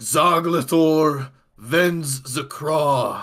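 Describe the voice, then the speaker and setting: A man's put-on character voice, bellowing and menacing at a fairly high pitch, on a very clean recording with a silent background. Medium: actual play. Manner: grandiose, menacing.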